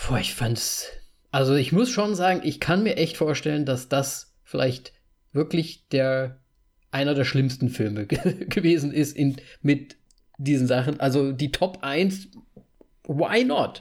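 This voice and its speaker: Speaking very slowly with long, frequent pauses, a man uses a fairly high pitch, ordinary pitch variation, very even loudness and a somewhat breathy voice. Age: 30s. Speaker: podcast host. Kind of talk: casual chat.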